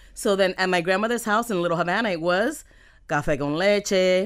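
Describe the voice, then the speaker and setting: On a very clean recording with a silent background, a woman talks with a Miami accent and ordinary pitch variation. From Miami, US. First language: Spanish. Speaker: entrepreneur. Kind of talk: casual interview chat. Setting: studio.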